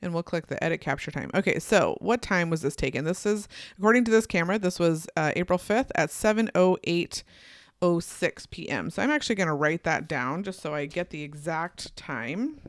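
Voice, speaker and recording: A woman's unremarkable speaking voice, fairly low in pitch, with lively intonation and a fairly quick pace, dry and close with no echo on a very clean recording against a silent background. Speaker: photographer and Lightroom educator. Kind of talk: screen-share tutorial. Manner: casual, thinking aloud.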